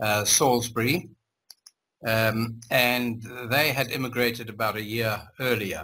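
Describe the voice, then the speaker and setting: A man's medium-pitched voice with a German accent, fairly slow, bright and sharp in tone. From Zimbabwe. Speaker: interviewee, former community member. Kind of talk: life story interview. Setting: video call. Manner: halting.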